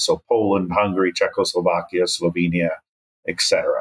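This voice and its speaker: A man's unremarkable speaking voice, fairly low in pitch. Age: 60s. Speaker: development economist. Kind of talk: interview.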